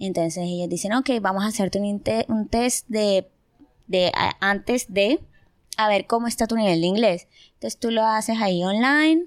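Speaking at a moderate pace with long, frequent pauses, a woman uses a medium pitch and ordinary pitch variation. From Colombia, Barranquilla. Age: 20s. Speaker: university student. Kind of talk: casual interview.

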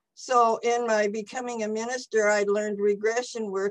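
Her pitch sits at a medium level for a woman. The intonation is monotone and flat. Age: 80s+. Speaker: retired teacher, spiritual minister and author. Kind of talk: interview about personal recovery. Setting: video call.

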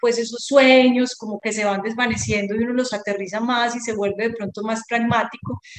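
Monotone, flat intonation from a woman with a high voice. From Colombia, Medellín. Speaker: artisan. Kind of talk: interview conversation. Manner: hesitant, many fillers.

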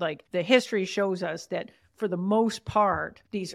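A woman speaks in an ordinary speaking voice. She has a Canadian accent and fairly even intonation. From Canada. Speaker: author and podcast host. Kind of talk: interview conversation.

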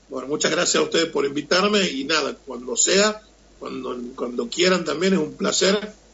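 A man with a high pitch, lively intonation and a moderate pace. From Argentina, Tucumán. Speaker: chef. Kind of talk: interview. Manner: halting.

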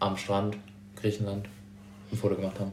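There is audible room echo around this man's voice. He talks at a fairly low pitch with monotone, flat intonation. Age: 20s. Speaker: psychology student. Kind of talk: casual chat.

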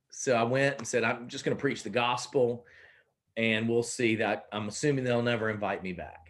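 A man of medium pitch talks at a moderate pace with fairly even intonation. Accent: Southern US. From South Carolina. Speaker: pastor. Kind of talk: casual interview conversation.

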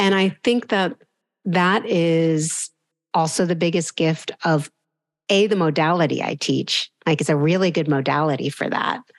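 A woman talks with an unremarkable speaking voice of fairly low pitch and ordinary pitch variation. Her pace is fairly slow, her loudness very even, and the background quiet. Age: 50s. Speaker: yoga teacher. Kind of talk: interview.

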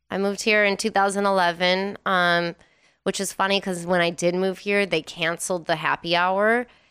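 A woman with an American accent speaks at a moderate pace in an ordinary speaking voice, medium in pitch with ordinary variation, on a very clean recording with a silent background. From Wisconsin, US Midwest. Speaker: DJ and vintage clothing reseller. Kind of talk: casual chat.

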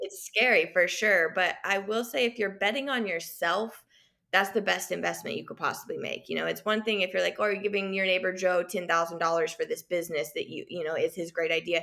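With an American accent, a woman at medium pitch speaks at a fairly quick pace with hardly any pauses, her tone bright and sharp and touched by vocal fry. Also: ordinary pitch variation. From Kansas, US Midwest. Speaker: small business owner. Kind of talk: casual interview.

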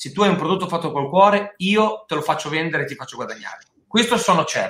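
A man with a high voice talks very fast with ordinary pitch variation. His loudness swings widely. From Marche, Italy. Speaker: food and wine producer/restaurateur. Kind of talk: casual interview chat. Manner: animated.

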